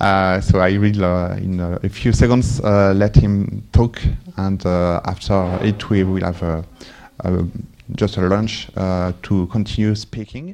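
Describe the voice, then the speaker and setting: The speaker has a French accent and a monotone, flat intonation. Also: man, very deep, low pitch for a man, fairly slow pace. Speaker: user group organizer introducing the speaker. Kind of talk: event introduction. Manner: halting, many fillers.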